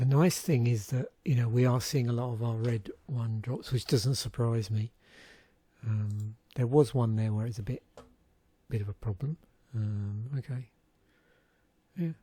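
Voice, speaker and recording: A man's dark, mellow voice, somewhat breathy, at a fairly slow pace with long, frequent pauses and ordinary pitch variation, on a very clean recording with a silent background. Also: medium pitch for a man. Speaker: YouTuber reviewing card game packs. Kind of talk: casual solo commentary. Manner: gentle, relaxed.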